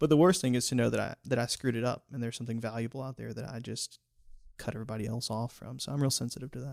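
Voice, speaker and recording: Big swings in loudness mark this man's very fast speech. He talks at medium pitch. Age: young. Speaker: amateur botanist. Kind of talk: interview. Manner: animated.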